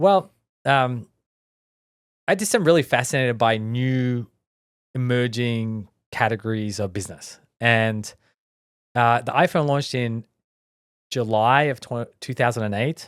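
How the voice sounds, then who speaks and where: With an Australian accent, a man talks at a medium pitch and a fairly slow pace, using ordinary pitch variation. Long, frequent pauses break up his speech on a very clean recording with a silent background. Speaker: tech entrepreneur, company founder. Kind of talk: podcast interview. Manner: frequent fillers and restarts.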